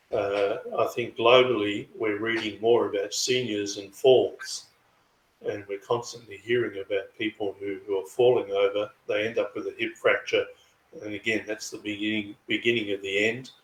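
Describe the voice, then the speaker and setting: A man with an Australian accent. He speaks at a moderate pace. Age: 60s. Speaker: chiropractor and karate practitioner. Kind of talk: interview.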